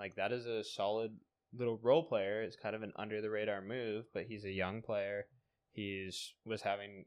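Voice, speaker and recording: An unremarkable speaking voice belongs to a man with an American accent who talks fairly quickly in a fairly low pitch. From US Pacific Northwest. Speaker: sports podcast host. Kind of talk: casual chat.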